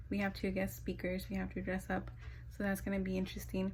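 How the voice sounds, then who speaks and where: There is audible room echo as a woman speaks. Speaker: vlogger, student in a clinical training program. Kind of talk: casual vlog.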